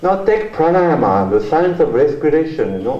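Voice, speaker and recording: Over noticeable background noise and audible room echo, a man speaks at a fairly quick pace. His high voice makes very wide pitch swings. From France. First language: French. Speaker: journalist and author, keynote speaker. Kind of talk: keynote lecture. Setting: university conference hall with audience.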